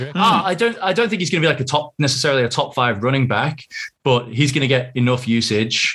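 Speaking at a very fast pace, a man uses lively intonation with a fairly high pitch. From northwest England (Southport). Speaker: fantasy football league organiser and podcaster. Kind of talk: casual chat. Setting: remote call.

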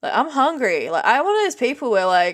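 An Australian accent in a very clean recording with a silent background. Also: woman. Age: 30s. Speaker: streamer and podcaster. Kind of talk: casual monologue. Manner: rambling, many ums and ahs.

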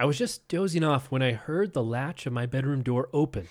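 A natural reading voice.

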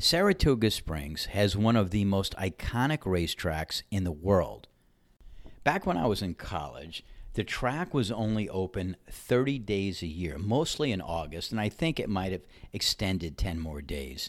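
A man with an ordinary speaking voice talks at a moderate pace, fairly low in pitch with lively intonation. The recording is very clean with a silent background. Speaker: podcast host and ranter. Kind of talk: opinionated monologue rant, with a story-telling segment. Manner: opinionated, sarcastic.

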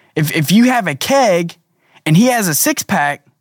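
This man talks at a fairly slow pace, his pitch swinging very widely. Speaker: podcast host and financial coach. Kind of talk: educational monologue, solo podcast. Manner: earnest, conversational, teaching.

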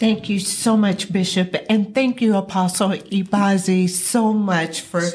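The speaker is a woman with a medium pitch. Her voice is somewhat breathy. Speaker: radio announcer. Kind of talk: scripted announcement. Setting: studio.

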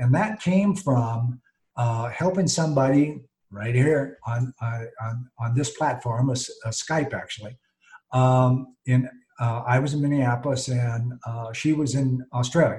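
A man with an American accent speaks at medium pitch, a little breathy. His pace is fairly slow and his pitch varies in an ordinary way. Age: 60s. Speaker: behavior coach and author. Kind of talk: interview. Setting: video call. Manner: animated.

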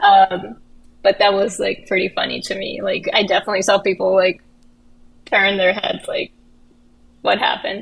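With a Russian accent, a woman speaks with long, frequent pauses. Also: moderate pace. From Russia, Kazan (Tatarstan). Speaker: actress and filmmaker. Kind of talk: casual chat.

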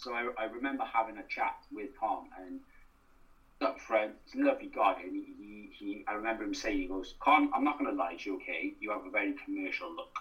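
A man with a South Wales accent speaks at a fairly quick pace, his loudness swinging widely. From Wales, Newport. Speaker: actor and writer. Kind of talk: casual interview.

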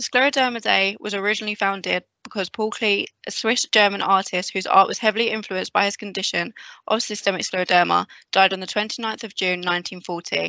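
A woman speaks at a fairly quick pace with fairly even intonation. She has a plain, everyday voice at a medium pitch. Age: 20s. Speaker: hospital staff network chair. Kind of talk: scripted interview answers. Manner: formal.

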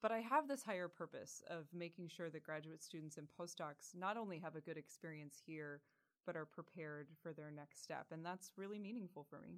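Talking at a fairly quick pace in a normal speaking voice, a woman uses a fairly low pitch with ordinary pitch variation. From rural Pennsylvania. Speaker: university administrator. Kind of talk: interview.

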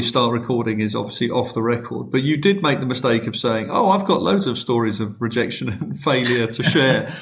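A man's fairly quick, lively-intoned speech with audible room echo. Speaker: podcast host. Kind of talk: podcast interview.

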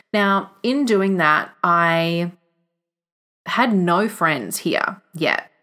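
A woman with an Australian accent speaks very slowly in a bright, sharp tone at medium pitch, with ordinary pitch variation and very even loudness. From Australia, country Victoria. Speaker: podcast host and visionary coach. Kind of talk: solo podcast monologue.

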